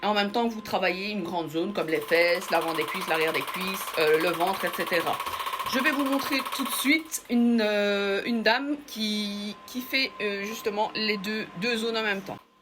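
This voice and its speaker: Noticeable background noise is present throughout. Over it, a woman's intonation rises and falls in a lively way. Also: medium pitch for a woman, moderate pace. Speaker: beauty salon owner. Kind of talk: product demonstration. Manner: halting; loud. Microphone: far from the mic.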